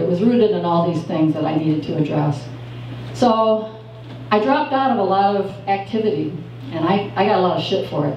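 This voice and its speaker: Over noticeable background noise and audible room echo, a woman talks at a fairly quick pace with lively intonation. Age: 60s. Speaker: open mic storyteller. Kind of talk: personal storytelling at open mic. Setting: cafe open mic with audience. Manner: hesitant, many fillers.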